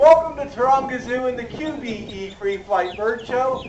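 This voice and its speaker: The speaker's intonation is lively, with noticeable background noise and audible room echo in the recording. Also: man. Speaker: zoo bird show presenter. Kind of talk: live animal show presentation. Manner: animated.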